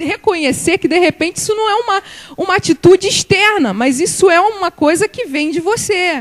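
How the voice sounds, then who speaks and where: A woman talks at a moderate pace amid noticeable background noise. The sound is dry and close, with no echo. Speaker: church speaker, guest preacher. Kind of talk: sermon.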